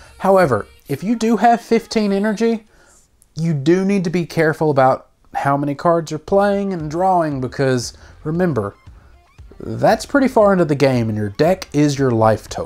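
A woman speaks at a moderate pace with a fairly low pitch and very wide pitch swings, with music playing in the background. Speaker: card game channel host. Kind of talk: game strategy explainer. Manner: casual.

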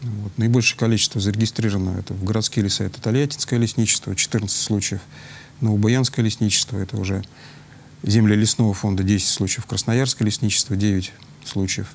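A man with an unremarkable speaking voice and a fairly low pitch talks fairly quickly with fairly even intonation over light background noise. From Tolyatti, Russia. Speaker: fire safety official. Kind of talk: studio interview. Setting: studio. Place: studio.

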